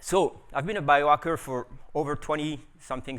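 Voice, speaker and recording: In a French accent, a man talks at a moderate pace with a medium pitch. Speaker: biohacker and scientist. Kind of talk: conference talk. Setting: stage with audience. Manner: animated.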